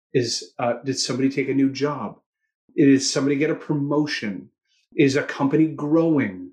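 With a Canadian accent, a man speaks in a normal speaking voice at a moderate pace, his pitch fairly high with ordinary variation. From Toronto, Canada. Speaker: sales training CEO. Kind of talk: interview conversation.

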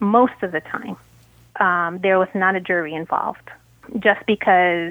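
A woman with an American accent has an unremarkable speaking voice, pitched fairly low. She moves at a moderate pace with ordinary pitch variation. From Brooklyn and Queens, New York. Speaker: author and attorney. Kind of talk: casual interview conversation. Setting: podcast interview.

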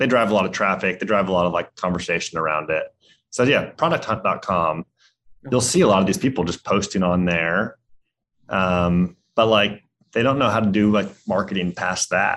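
A man speaks in an ordinary speaking voice, fairly low in pitch. His pace is moderate and his pitch varies in an ordinary way. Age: 30s. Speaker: software startup founder and CEO. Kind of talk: interview.

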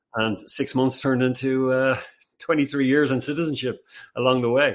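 A man with an Irish accent talks at a fairly quick pace in a medium pitch, recorded very cleanly against a silent background. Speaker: company CEO. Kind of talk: casual interview.

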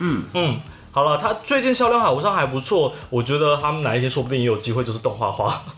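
Through noticeable background noise, a man talks very fast in a fairly high pitch with very wide pitch swings. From Taiwan, Taichung. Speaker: podcast co-host. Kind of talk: casual chat.

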